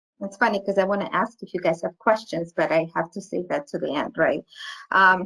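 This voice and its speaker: In a dry, close sound with no echo, a woman with a non-native accent talks at a fairly quick pace and medium pitch, with ordinary pitch variation. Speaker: pediatric occupational therapist. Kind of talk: webinar lecture. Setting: online webinar. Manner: halting.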